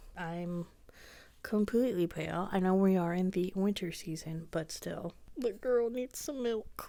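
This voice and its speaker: A woman's voice, dark and mellow in tone, shows ordinary pitch variation. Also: medium pitch for a woman. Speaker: vlogger. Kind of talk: casual vlog monologue. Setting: at home, parents nearby.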